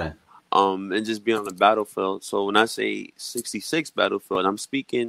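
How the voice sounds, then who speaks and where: A man with a plain, everyday voice speaks at a moderate pace in an American accent. His pitch is fairly low, and the sound is dry and close with no echo. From Brooklyn, New York. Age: 20s. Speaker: musician. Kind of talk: casual chat. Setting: video call.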